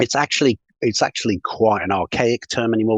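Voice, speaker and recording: Recorded dry and close with no echo, a man with a British accent speaks at a moderate pace. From UK. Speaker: sales consultant. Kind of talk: podcast interview.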